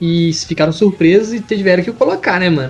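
At a moderate pace and with ordinary pitch variation, a man talks while noticeable background noise continues. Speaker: podcast co-host. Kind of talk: casual chat.

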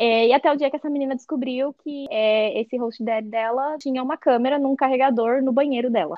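Her voice high in pitch, a woman speaks with ordinary pitch variation. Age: 20s. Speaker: former au pair. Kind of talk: casual interview. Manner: halting.

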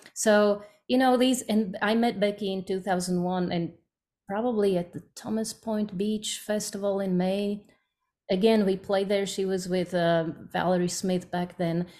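A woman's medium-pitched voice with a Slovak accent, a dark, mellow tone, fairly even intonation and a fairly slow pace. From Slovakia. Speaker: bluegrass singer. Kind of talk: casual interview.

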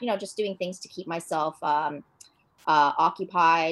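The speaker has a Canadian accent and ordinary pitch variation. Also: woman. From Toronto, Canada. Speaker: dog owner. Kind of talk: casual interview chat. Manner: hesitant, many fillers.

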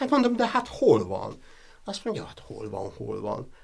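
The speaker is a man. He talks at a moderate pace. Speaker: professor. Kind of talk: interview. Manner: halting.

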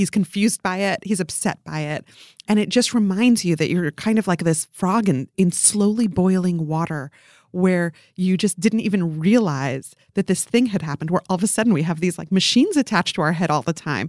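This is an unremarkable speaking voice, delivered fairly quickly with ordinary pitch variation. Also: woman, medium pitch for a woman. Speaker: culture writer. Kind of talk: panel discussion.

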